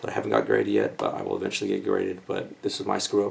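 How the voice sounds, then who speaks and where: A man speaks quietly. Noticeable background noise runs underneath. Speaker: comic book collector YouTuber. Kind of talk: casual unboxing video. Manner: speaking quietly.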